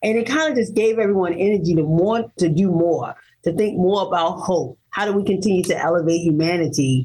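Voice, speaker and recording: A woman talks at a fairly quick pace in an unremarkable speaking voice, with medium pitch, ordinary pitch variation, very even loudness and hardly any pauses. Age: 50s. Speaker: abduction survivor and author of her story. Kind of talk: interview testimony.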